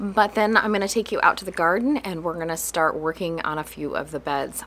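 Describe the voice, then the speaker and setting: A woman speaks with a fairly low pitch and ordinary pitch variation. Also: fairly quick pace. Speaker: farm host. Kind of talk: casual vlog chat. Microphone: phone near.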